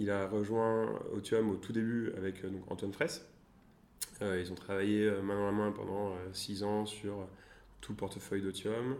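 A man with a fairly low pitch speaks fairly slowly in a flat monotone, leaving long, frequent pauses. The room echo is audible. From France, Tours. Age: 20s. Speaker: venture capital investor. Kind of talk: interview. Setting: coworking space. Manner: halting.

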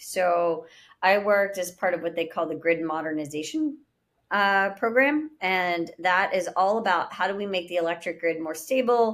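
A woman with an American accent and an unremarkable speaking voice talks at a moderate pace and medium pitch with ordinary pitch variation, on a very clean recording with a silent background. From Pittsburgh, Pennsylvania. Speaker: urban farming company founder. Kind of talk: interview.

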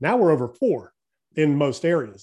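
A man's dark, mellow tone comes across over a quiet background. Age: 50s. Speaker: real estate developer and business coach. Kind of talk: interview on economics.

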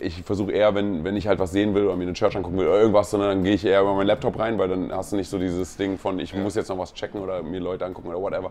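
A man rushes along at a very fast pace with hardly any pauses, his fairly low pitch held in monotone, flat intonation. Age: 40s. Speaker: pastor. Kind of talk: casual chat. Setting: on location at a pastors' conference.

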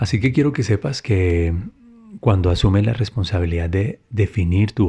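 With a dark, mellow tone and a somewhat breathy quality, a man talks at a moderate pace and a fairly low pitch with ordinary pitch variation. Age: 40s. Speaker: podcast host and motivational speaker. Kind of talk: motivational monologue.

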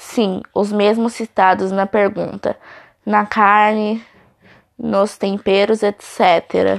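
A woman speaks at a very slow pace and medium pitch. Her intonation is monotone and flat, with very even loudness. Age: 40s. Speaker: student. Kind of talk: reading aloud.

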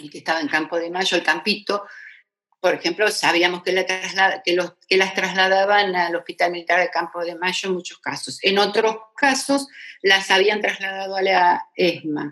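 An unremarkable speaking voice, a woman at medium pitch talks at a moderate pace. Her intonation stays fairly even. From Argentina, Buenos Aires area. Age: 60s. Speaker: retired federal judge. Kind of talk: interview testimony.

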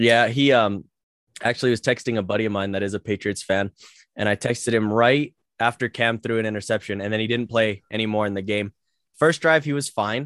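This man uses an ordinary speaking voice, medium in pitch with ordinary pitch variation, talking at a fairly quick pace with a dry, close sound, no echo and a quiet background. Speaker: podcast host. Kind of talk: casual chat. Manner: joking.

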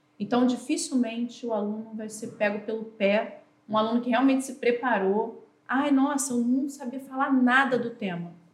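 The voice carries fairly even intonation with audible room echo. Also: woman, high pitch for a woman, moderate pace. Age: 40s. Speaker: teacher. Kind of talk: casual chat.

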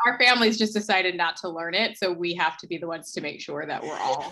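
A woman with an American accent at a very fast pace, fairly low in pitch with ordinary variation and big swings in loudness, over noticeable background noise. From US, South Jersey. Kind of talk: interview, personal illness story.

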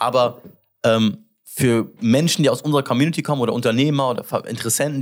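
In a very clean recording with a silent background, someone talks very fast with an English accent and ordinary pitch variation. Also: man. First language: English (speaking German). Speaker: podcast host, entrepreneur. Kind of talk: casual interview chat. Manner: halting, many fillers.

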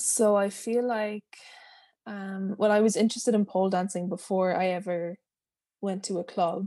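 A woman's dark, mellow voice with a western Irish accent, medium in pitch, with monotone, flat intonation. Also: moderate pace. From west coast of Ireland, small town. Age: 20s. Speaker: pole dancer and body confidence teacher. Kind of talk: interview. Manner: soothing, relaxed.

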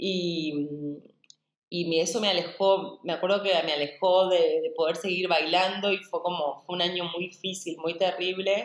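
In a Rioplatense accent, a woman speaks at a fairly slow pace, her fairly low voice flat and monotone. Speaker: dance and movement teacher. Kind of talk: interview.

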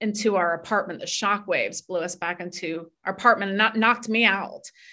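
A woman with an American accent speaks at a moderate pace. She has an unremarkable speaking voice with ordinary pitch variation. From North Florida, US South. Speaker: author. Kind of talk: interview testimony.

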